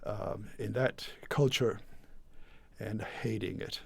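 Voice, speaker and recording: Fairly even intonation in a man's somewhat breathy voice, fairly low in pitch. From Puerto Rico. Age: 70s. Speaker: guitar maker. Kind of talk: interview. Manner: halting, with many repetitions and fillers.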